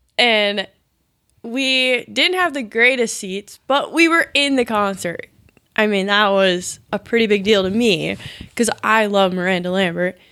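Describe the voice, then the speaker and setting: Speaking fairly slowly with an Upper Midwest US accent, a woman uses a bright, sharp tone and ordinary pitch variation. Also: medium pitch for a woman. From rural Wisconsin. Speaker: guest, girlfriend of the main guest. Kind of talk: casual chat.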